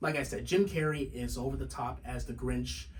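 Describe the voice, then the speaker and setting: Noticeable background noise under a man's speech at a moderate pace. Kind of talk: casual movie review talk to camera.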